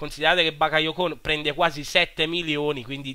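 The man's pitch is fairly high. He talks at a moderate pace in a monotone, flat way. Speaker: gaming YouTuber. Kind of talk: gameplay commentary.

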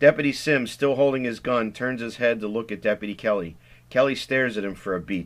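Pitch moves in an ordinary way here. The delivery is plain reading aloud.

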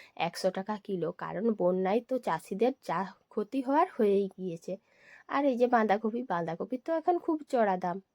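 Against a quiet background, a woman with a medium pitch speaks with lively intonation. Her tone is dark and mellow, and the sound is dry and close with no echo. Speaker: family lifestyle vlogger. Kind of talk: vlog narration. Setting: at home and in the garden.

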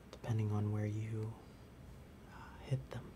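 A man is speaking while noticeable background noise carries on around him. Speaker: music store demonstrator. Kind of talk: tutorial. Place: shop.

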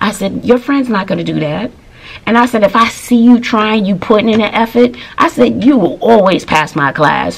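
With lively intonation, a woman talks at a fairly quick pace. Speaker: teacher, vlogger. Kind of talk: casual vlog storytelling. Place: home room. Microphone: phone near.

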